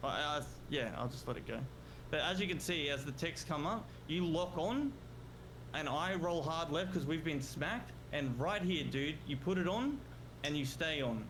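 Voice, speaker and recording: A man speaks at a fairly high pitch and moderate pace, with ordinary pitch variation and vocal fry. Audible room echo surrounds his voice. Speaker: gaming content creator. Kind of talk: heated confrontation over a call.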